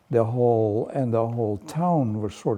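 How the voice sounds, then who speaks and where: A man's dark, mellow tone with a Dutch accent and ordinary pitch variation. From Netherlands. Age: 80s+. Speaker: painter. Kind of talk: interview. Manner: halting.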